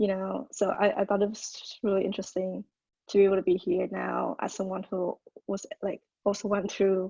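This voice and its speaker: A woman with a Vietnamese accent, moderate in pace and monotone, flat in intonation, in a dry, close sound with no echo. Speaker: college student, storyteller. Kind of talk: casual self-introduction on video call. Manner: halting, many fillers.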